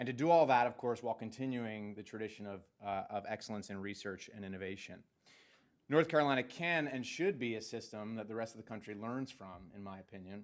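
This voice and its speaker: At a very fast pace, the speech shows big swings in loudness and ordinary pitch variation on a very clean recording with a silent background. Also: man, medium pitch for a man. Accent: northeastern US. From New Jersey. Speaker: education policy scholar. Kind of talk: presentation to a board. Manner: halting, many fillers and repeats.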